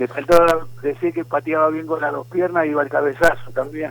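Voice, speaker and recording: A man with a Rioplatense accent speaks at a moderate pace in a fairly high pitch. His intonation is fairly even, and noticeable background noise is present. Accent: Argentine Rioplatense Spanish. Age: 70s. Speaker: historian and writer. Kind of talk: interview.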